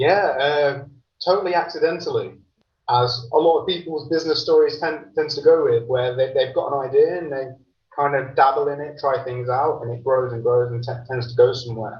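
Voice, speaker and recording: Fairly high-pitched, a man with an English accent talks at a fairly quick pace with ordinary pitch variation. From England, Lincolnshire (Grantham). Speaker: entrepreneur, managing director. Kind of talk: podcast interview. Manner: hesitant, many fillers and repeats.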